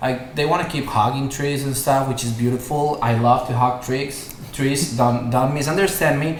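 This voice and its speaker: A man talks in a Spanish accent at medium pitch and a moderate pace, with fairly even intonation. Audible room echo and noticeable background noise are present. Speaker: online yoga teacher. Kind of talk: casual podcast interview. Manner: hesitant, many fillers.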